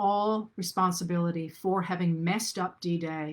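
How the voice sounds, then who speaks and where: The recording is very clean, with a silent background. A woman uses a normal speaking voice, fairly low in pitch, with fairly even intonation. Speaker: historian. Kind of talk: lecture. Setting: livestream.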